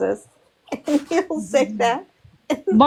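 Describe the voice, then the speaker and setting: The speaker drawls in a Southern US accent. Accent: Southern twang. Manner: drawling.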